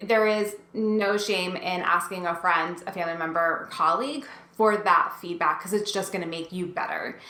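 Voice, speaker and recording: With a New Jersey accent, a woman talks at medium pitch with ordinary pitch variation and hardly any pauses, amid noticeable background noise and audible room echo. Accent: New Jersey American. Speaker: instructional design coach. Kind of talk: tutorial. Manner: fast; sometimes mumbles.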